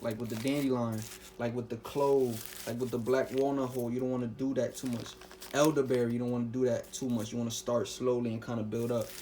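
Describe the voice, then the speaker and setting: Against noticeable background noise, a man talks fairly quickly at a medium pitch in a monotone with flat intonation. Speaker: herbal health vlogger. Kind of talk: casual talk to camera. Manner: fast.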